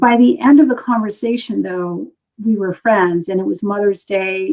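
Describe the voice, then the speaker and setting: A woman with an American accent has an unremarkable speaking voice, talking at a moderate pace and medium pitch with ordinary pitch variation. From US. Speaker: teacher. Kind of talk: interview. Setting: live video stream.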